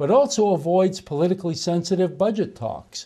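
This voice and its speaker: A man with a dark, mellow tone speaks over a quiet background. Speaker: political commentator. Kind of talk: angry political rant, fiery partisan denunciation. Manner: indignant, accusatory; emphatic, repetitive rhetorical questions. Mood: indignant, sarcastic. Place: studio. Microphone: lapel.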